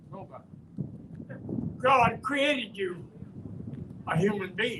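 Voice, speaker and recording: A man speaks in a raised, projected voice that is high-pitched for a man, with ordinary pitch variation. His pace is very slow, and there is audible room echo. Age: 80s+. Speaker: community elder speaking at a rally. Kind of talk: rally speech.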